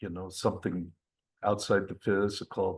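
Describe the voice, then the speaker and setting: Against a quiet background, a man talks at a fairly low pitch and moderate pace with monotone, flat intonation. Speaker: workshop participant. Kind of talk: group discussion. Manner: halting.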